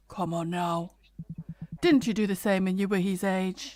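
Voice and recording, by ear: A put-on character voice at middle pitch and a moderate pace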